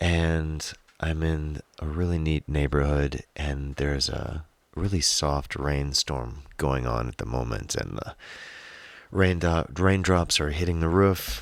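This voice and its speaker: Speaking at a very slow pace, a man has a very deep, low pitch. His pitch varies in an ordinary way. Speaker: singer-songwriter. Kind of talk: casual monologue. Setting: home studio.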